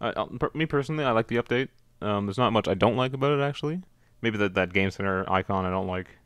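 The speech comes at a very fast pace with lively intonation, in a very clean recording with a silent background and a dry, close sound with no echo. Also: man, medium pitch for a man. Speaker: video game podcast host. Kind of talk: casual chat.

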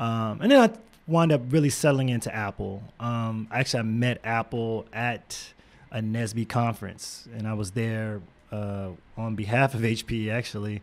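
This man speaks with an American accent. His pace is moderate and his intonation fairly even. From Texas, Houston. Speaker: tech entrepreneur and former engineer; podcast guest. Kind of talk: interview. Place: studio. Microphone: studio mic.

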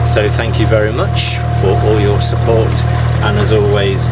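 A man's voice comes through with music playing behind it. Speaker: canal boat vlogger. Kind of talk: casual vlog chat. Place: boat. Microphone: phone near.

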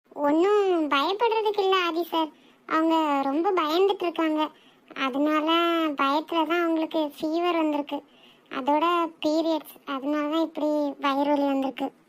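This cartoonish character voice moves at a fairly slow pace with fairly even intonation. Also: woman, extremely high pitch for a woman. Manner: calm, explanatory.

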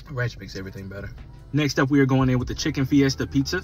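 Delivery is very fast, with ordinary pitch variation. The sound is dry with no echo, and faint music plays in the background. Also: man. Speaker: food reviewer. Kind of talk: casual food review vlog. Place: car. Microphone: phone near.

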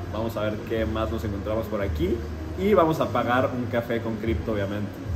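Noticeable background noise sits behind this recording. A man speaks with ordinary pitch variation. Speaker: vlogger. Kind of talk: casual vlog chat. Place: cafe. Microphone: phone near.

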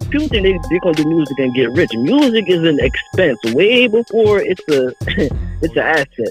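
Very wide pitch swings stand out in this dry recording with no echo, with faint music in the background. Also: man, high pitch for a man, moderate pace. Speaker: rapper / independent music artist, caller on a radio show. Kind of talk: casual talk to radio host, caller conversation. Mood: earnest and explanatory. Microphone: video call.

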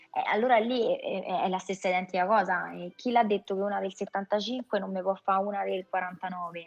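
A woman speaks at a fairly quick pace in a medium pitch, her intonation fairly even and hardly any pauses breaking her flow. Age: 40s. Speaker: voice actress. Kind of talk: casual interview chat. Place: home room. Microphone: video call.

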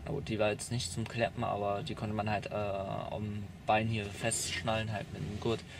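At a moderate pace, a man speaks at a fairly low pitch with fairly even intonation. The sound is dry with no echo, and there is noticeable background noise. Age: 20s. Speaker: young man recounting youth welfare care. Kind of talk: interview testimony; interview answer. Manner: halting. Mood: calm, hesitant. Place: car. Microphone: phone near.

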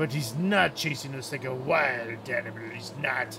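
A man's put-on character voice at a moderate pace over clear background noise. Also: medium pitch for a man. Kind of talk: casual gameplay commentary. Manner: loud, gruff, excitable. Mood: amused, relaxed.

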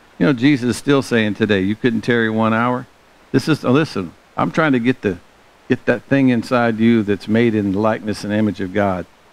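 A man with a Southern US accent, in a dry sound with no echo. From US South. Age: 60s. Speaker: pastor; preacher. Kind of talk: sermon. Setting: church. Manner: animated. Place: church.

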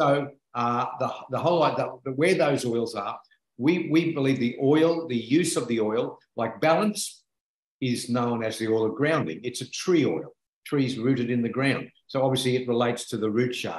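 A man talks at a moderate pace with ordinary pitch variation. The background is quiet, though audible room echo is present. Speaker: essential oils presenter. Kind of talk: explanatory talk. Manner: enthusiastic, earnest. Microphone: video call.

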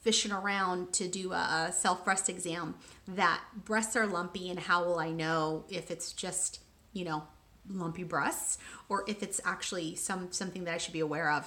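With fairly even intonation, the woman keeps a moderate pace. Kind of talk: casual vlog chat. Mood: warm, open, candid. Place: home room. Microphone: phone near.

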